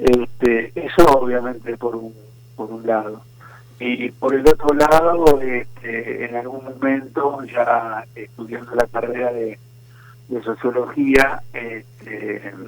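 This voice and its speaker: Over noticeable background noise, a man with a Rioplatense accent speaks at a very slow pace in a medium pitch. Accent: Argentine Rioplatense Spanish. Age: 70s. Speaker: historian and writer. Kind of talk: interview.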